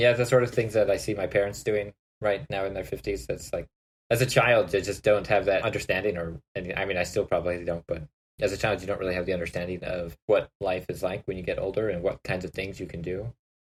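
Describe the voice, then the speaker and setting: Speaking at a very fast pace in a Canadian accent, a man with a fairly low pitch sounds somewhat breathy, with ordinary pitch variation and a dry, close sound with no echo. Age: 30s. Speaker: podcast host. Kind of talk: casual chat.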